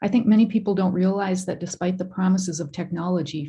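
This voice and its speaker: At a very fast pace, a woman talks in a dark, mellow, somewhat breathy tone, fairly low in pitch with fairly even intonation. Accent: Upper Midwest. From northern Minnesota (Sandstone). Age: 60s. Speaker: member of the public giving comment. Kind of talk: public comment. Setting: online video meeting.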